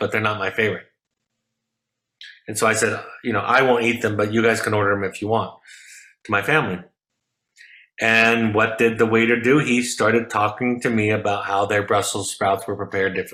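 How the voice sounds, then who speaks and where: With a bright, sharp tone and fairly even intonation, a man talks at a fairly quick pace in a fairly low pitch. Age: 50s. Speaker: therapist. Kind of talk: lecture. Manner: fast.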